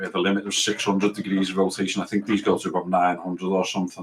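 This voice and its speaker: A man's fairly low voice with an English accent. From England. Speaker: gaming streamer. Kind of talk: live gameplay commentary. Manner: casual, rambling.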